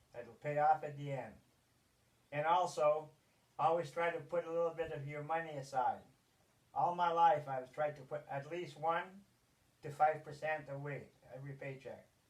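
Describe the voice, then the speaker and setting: A man with a fairly high pitch speaks at a moderate pace in a somewhat breathy, monotone, flat voice, with big swings in loudness and long, frequent pauses. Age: 70s. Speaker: grandfather, podcast guest. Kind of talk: casual interview. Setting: cabin.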